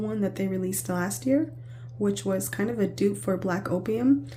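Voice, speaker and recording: A woman speaks at a very deep, low pitch with very wide pitch swings. Audible echo fills the room. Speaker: perfume reviewer. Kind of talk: product review vlog. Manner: casual, meandering.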